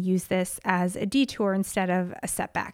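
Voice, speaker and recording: A woman with an American accent speaks at a medium pitch, fairly slowly, with fairly even intonation, in a plain, everyday voice. The recording is very clean, with a silent background. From upstate New York. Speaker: podcast host. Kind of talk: casual monologue.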